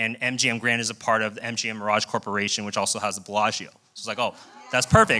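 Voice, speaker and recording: A man at medium pitch, fairly quick and fairly even in intonation, with noticeable background noise. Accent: American. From US, Colorado. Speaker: program alumnus speaker. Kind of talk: personal testimony speech. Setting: live event with audience in a room.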